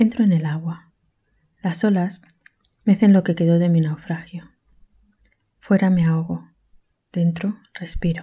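A woman talks at a fairly quick pace, with a dark, mellow, somewhat breathy tone and a fairly low pitch. Her intonation stays fairly even, and she leaves long, frequent pauses. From Catalonia, Spain. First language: Catalan and Spanish. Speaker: visual artist and poet.

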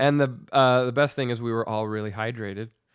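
A man with an unremarkable speaking voice talks at a moderate pace in fairly even intonation. The recording is very clean, with a silent background. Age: 30s. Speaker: musician. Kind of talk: casual chat. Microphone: new microphone.

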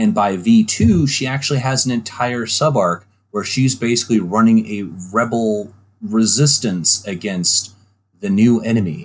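A man speaks at a medium pitch with ordinary pitch variation, on a very clean recording with a silent background. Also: fairly slow pace. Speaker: gaming podcast co-host. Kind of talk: casual chat. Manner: joking, animated.

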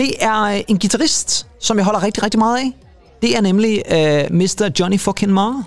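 A man talks at a fairly slow pace. His voice is high-pitched, with ordinary pitch variation. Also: very even loudness. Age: 40s. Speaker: music podcast co-host. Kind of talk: casual chat. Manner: halting.

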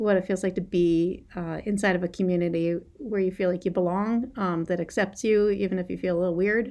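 A woman speaks in a plain, everyday voice at a medium pitch, talking at a fairly quick pace with fairly even intonation and hardly any pauses, on a very clean recording with a silent background. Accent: American. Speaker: high school English teacher and poet. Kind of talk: casual interview.

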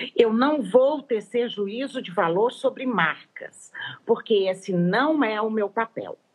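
Her pace very slow, a woman talks at a fairly high pitch with ordinary pitch variation. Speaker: veterinary nutritionist, professor. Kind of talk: interview, technical explanation. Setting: Instagram live video call. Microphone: poor audio with dropouts.

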